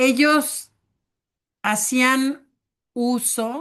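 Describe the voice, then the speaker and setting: A woman's voice against a quiet background. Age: 60s. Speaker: teacher. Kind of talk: online class discussion. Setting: video call.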